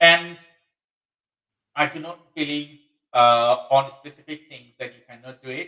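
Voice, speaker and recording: A man with a Bangladeshi accent and a fairly high pitch talks at a fairly slow pace with fairly even intonation, long, frequent pauses and big swings in loudness. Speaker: webinar host. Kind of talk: live webinar discussion. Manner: halting, many fillers.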